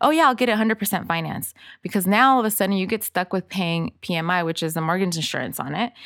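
In a Spanish accent, a woman speaks at a very fast pace with a medium pitch and ordinary pitch variation, in a very clean recording with a silent background and a dry, close sound with no echo. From Los Angeles (Inglewood/Lennox), Salvadoran family. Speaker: author and financial literacy speaker. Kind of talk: casual interview.

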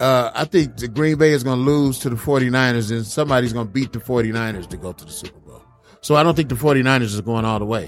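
Music plays behind a man speaking at a medium pitch and fairly quick pace. His tone is playful and upbeat, with big swings in loudness. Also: ordinary pitch variation. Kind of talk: radio DJ patter: relaxed, joking show-host banter between music sets. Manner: playful, chatty and upbeat, teasing his co-hosts and laughing as he riffs.

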